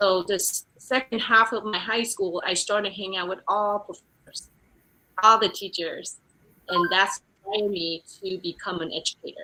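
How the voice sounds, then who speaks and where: A woman speaks at a medium pitch and moderate pace in a Vietnamese accent. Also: fairly even intonation. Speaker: real estate executive. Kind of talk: interview testimony. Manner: halting, many fillers.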